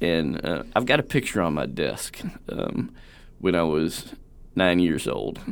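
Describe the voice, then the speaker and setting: In an American accent, a man with a very deep, low pitch speaks at a very slow pace with lively intonation. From Southern Indiana. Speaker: wildlife ecology professor. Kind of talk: interview. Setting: studio.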